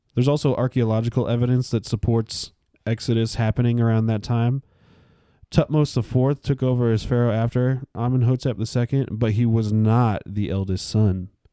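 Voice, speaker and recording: A man with a dark, mellow tone speaks at a fairly quick pace and fairly even intonation. The sound is dry and close with no echo, and the recording is very clean with a silent background. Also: medium pitch for a man. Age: 20s. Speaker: Bible study podcast co-host. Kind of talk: casual Bible survey discussion.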